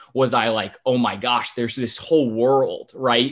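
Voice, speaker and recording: A man's ordinary speaking voice, medium-pitched, moderately paced, and fairly even in intonation. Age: 20s. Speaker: podcaster and young entrepreneur. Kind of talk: interview conversation.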